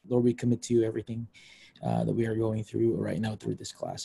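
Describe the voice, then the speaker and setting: Somewhat breathy, a man with a dark, mellow tone talks at a fairly quick pace in a dry sound with no echo. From Philippines, Baguio; Philippines. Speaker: pastor. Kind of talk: prayer. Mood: calm, reverent. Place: home room. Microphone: video call.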